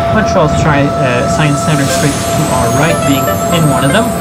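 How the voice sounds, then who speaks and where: Loud background noise sits behind a man speaking. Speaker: tour guide. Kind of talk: bilingual guided tour commentary. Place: boat.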